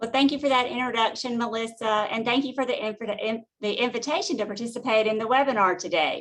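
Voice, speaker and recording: A woman with a Southern US accent talks at a very fast pace with hardly any pauses. Her voice is fairly high, with ordinary pitch variation. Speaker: utility finance executive. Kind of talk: webinar presentation.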